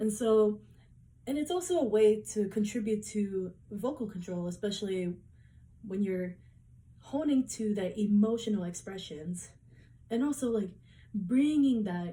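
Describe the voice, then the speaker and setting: Somewhat breathy and dark, mellow in tone, a woman at a fairly high pitch uses lively intonation, moving at a fairly slow pace with long, frequent pauses. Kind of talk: class presentation speech. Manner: hesitant, with repeated words.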